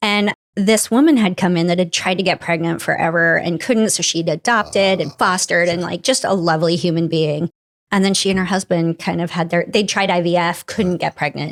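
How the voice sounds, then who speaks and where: A woman's animated, fairly low voice at a fairly quick pace. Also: ordinary pitch variation, very even loudness, very clean recording, silent background. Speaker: physician and hospital executive. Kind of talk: casual chat.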